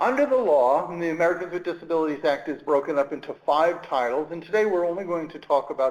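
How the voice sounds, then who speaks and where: Over noticeable background noise, a man with a Brooklyn accent talks at a fairly quick pace in a fairly high pitch with ordinary pitch variation. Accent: Brooklyn New York. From Brooklyn, New York. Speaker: government employment rights official. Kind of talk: webinar presentation. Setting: online webinar.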